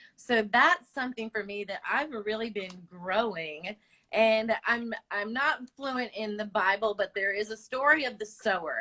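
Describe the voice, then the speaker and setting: Bright and sharp in tone, a woman's voice sits fairly high with ordinary pitch variation. She speaks at a fairly slow pace. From Long Island, New York and mountains of North Carolina. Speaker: small business owner and direct sales consultant. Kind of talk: casual interview. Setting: video call livestream.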